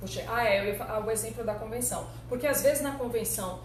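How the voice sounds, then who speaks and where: A woman's animated tone amid audible room echo and noticeable background noise. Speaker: labor lawyer and teacher. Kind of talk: live online lecture.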